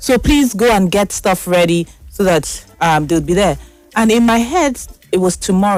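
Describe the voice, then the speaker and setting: Music plays in the background as a woman speaks in an animated tone. Her intonation is lively. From Nigeria. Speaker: talk show host. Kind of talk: casual monologue. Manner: fast.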